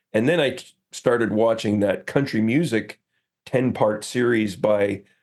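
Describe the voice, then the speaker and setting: The man has a fairly low voice. His pitch moves with ordinary variation. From Northern Ontario. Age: 60s. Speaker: singer-songwriter and photographer. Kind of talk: podcast interview. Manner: halting, many fillers.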